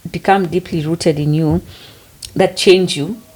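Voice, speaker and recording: Against noticeable background noise, a woman with a Kenyan accent talks at a moderate pace and a fairly low pitch, with fairly even intonation. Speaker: podcast co-host. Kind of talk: casual chat.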